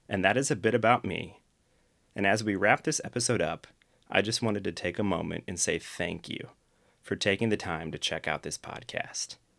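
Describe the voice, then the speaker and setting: In a very clean recording with a silent background, a man with a Midwestern American accent talks at a moderate pace and fairly low pitch with ordinary pitch variation. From US Midwest, Akron, Ohio. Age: 30s. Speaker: podcast host. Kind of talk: solo monologue, scripted talk.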